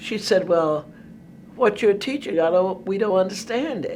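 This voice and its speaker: A woman with an American accent, fairly slow pace and very wide pitch swings. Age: 80s+. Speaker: retired math and computer science instructor. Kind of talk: interview answer.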